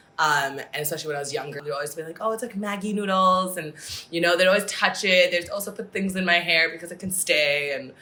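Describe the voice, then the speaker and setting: In an American accent, someone speaks at a very fast pace with ordinary pitch variation and big swings in loudness over noticeable background noise. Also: woman, fairly low pitch for a woman. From Singapore and US. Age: 20s. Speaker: podcast guest. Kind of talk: casual chat.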